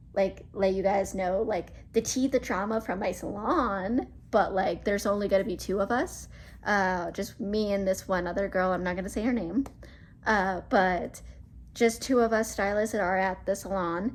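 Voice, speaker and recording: With vocal fry and fairly even intonation, a woman talks at a moderate pace. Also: medium pitch for a woman. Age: 20s. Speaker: YouTuber and hairstylist. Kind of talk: casual chat. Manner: casual, filler-heavy.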